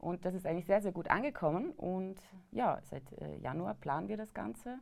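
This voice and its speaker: Speaking at a moderate pace with vocal fry, a woman with a medium-pitched voice comes through on a very clean recording against a silent background. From Vorarlberg, western Austria. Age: 30s. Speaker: hunter and cooking show presenter. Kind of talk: casual chat. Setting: studio.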